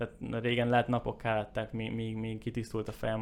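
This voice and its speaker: At a fairly quick pace, a man speaks with a fairly low pitch and monotone, flat intonation. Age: 20s. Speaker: entrepreneur. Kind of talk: casual chat.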